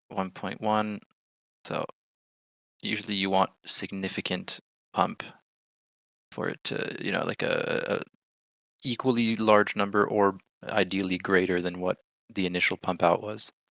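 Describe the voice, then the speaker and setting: With a bright, sharp tone and an American accent, a man with a fairly low pitch speaks at a fairly slow pace in a monotone, flat manner, leaving long, frequent pauses, in dry, close sound with no echo on a very clean recording with a silent background. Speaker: livestream trading host. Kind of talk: live trading commentary. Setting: livestream.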